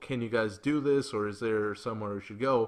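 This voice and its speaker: The background is quiet as a man talks, his pitch varying in an ordinary way. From Mexico, then United States. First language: Spanish. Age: 20s. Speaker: podcast host. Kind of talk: casual chat.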